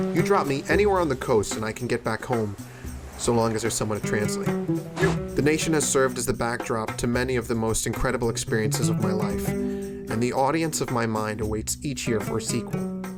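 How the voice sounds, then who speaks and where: With music playing in the background, a man talks at a fairly quick pace in a medium pitch, his pitch swinging very widely. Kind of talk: documentary voice-over narration.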